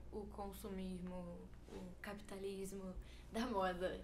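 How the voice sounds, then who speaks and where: With noticeable background noise and audible room echo, a woman speaks in monotone, flat intonation. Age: 20s. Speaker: fashion student. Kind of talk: casual chat.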